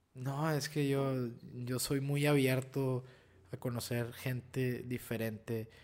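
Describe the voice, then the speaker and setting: The man's medium-pitched voice moves at a very slow pace. His intonation is monotone and flat. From Piedras Negras, Coahuila, northern Mexico. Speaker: actor. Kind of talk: casual chat.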